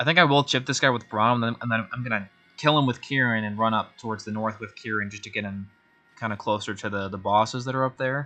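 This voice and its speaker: A man talking very fast at a medium pitch, his intonation fairly even. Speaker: video game streamer. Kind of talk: gameplay commentary. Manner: stuttering, repeating words; casual, thinking aloud.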